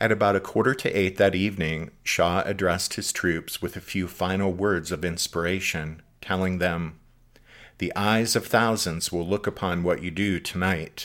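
With a dramatic tone, a man of very deep, low pitch speaks with fairly even intonation. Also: moderate pace, very clean recording, silent background. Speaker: podcast host. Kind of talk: history documentary narration. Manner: formal, measured, dramatic narrator's delivery.

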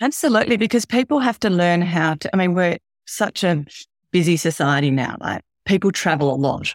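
A woman in an Australian accent, fairly low in pitch with very wide pitch swings and a fairly quick pace, in a dry, close sound with no echo. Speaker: health coach. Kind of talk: interview. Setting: remote call, early morning.

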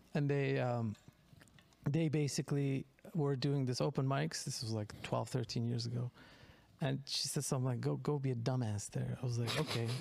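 There is a man talking at a moderate pace with ordinary pitch variation. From Turkey. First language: Turkish. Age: 40s. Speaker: comedian. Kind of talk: casual chat. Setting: studio.

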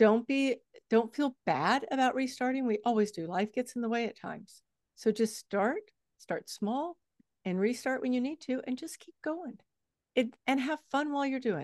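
A woman with a high pitch speaks at a moderate pace with lively intonation. Her loudness swings a lot, and the sound is dry and close with no echo. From Texas. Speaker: fitness coach and author. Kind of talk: interview conversation.

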